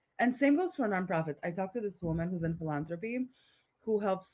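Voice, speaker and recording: With a Polish accent, a woman speaks. She keeps a fairly quick pace. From Poland. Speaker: entrepreneur, community founder. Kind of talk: podcast interview. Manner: casual, animated.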